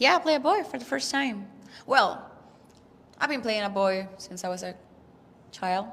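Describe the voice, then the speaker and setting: A woman with a Spanish accent speaks at a fairly high pitch with very wide pitch swings, big swings in loudness and long, frequent pauses, amid audible room echo. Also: moderate pace. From Mexico, Puerto Vallarta. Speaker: actress and rock singer. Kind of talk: interview. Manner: halting.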